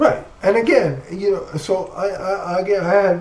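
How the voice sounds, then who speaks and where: Noticeable background noise accompanies a man talking fairly slowly. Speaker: comic book podcast co-host. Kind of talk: casual chat.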